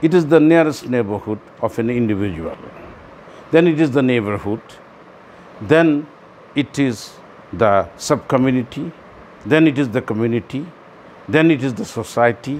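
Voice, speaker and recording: A man speaks at a medium pitch in a Bangladeshi accent, with lively intonation. His pace is moderate, broken by long, frequent pauses. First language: Bengali. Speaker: commentator on world affairs. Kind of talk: monologue talk. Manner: halting, with repetitions.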